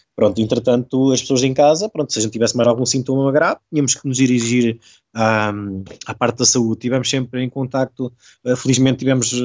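This man's voice sits at a medium pitch and stays monotone and flat. He moves along at a fairly quick pace. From Portugal. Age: 30s. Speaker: covid-19 survivor. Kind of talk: casual chat. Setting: video call. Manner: halting.

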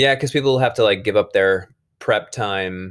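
A man is heard here. The recording is very clean, with a silent background. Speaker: teacher. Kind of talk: casual chat. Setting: home. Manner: loud when teaching.

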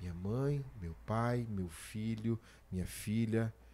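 A man speaks in an ordinary speaking voice at a medium pitch, with ordinary pitch variation. The recording is very clean, with a silent background. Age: 40s. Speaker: podcast host and preacher. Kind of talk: casual chat.

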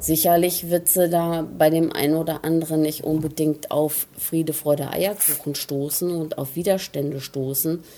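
A woman's fairly low voice, fairly slow, with monotone, flat intonation. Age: 50s. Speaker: interviewee, mother at a spa stay. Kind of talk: interview.

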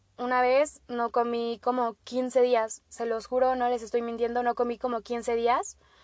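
A woman with a high pitch speaks fairly slowly in a monotone, flat intonation. The sound is dry and close with no echo, against a quiet background. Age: 20s. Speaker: podcast host, agricultural engineering student. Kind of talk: casual solo monologue.

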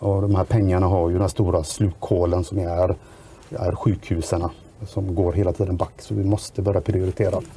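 Very deep, low male speech, moderate in pace and fairly even in intonation. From Sweden, Västra Götaland. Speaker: local politician. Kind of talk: podcast interview.

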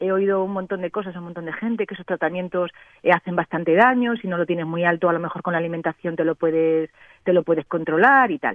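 A woman talks at a very fast pace. Her pitch sits fairly low, with ordinary pitch variation. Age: 50s. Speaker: radio caller. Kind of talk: phone-in question.

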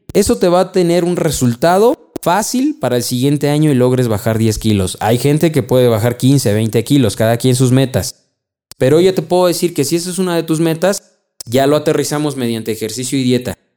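A man with a Mexican accent, fairly high pitch, dark, mellow tone, lively intonation and fairly quick pace. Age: 30s. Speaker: insurance advisor and podcast host. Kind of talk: solo podcast monologue.

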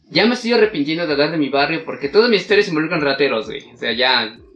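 A man's fairly high voice rushes along at a very fast pace with lively intonation. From Mexico. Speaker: podcast co-host. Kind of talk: casual chat. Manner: animated.

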